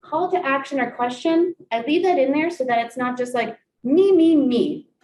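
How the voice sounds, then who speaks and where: A woman speaks with a Midwestern American accent. Her pitch is high and her pace moderate. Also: ordinary pitch variation. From US Midwest, Columbus, Ohio. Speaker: college staff presenter. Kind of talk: workshop presentation. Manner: animated.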